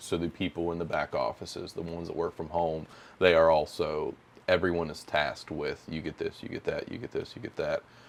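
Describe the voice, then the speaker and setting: A man talks at a fairly quick pace. He has a West Virginia accent. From northern West Virginia. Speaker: title company business development rep. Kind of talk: podcast interview.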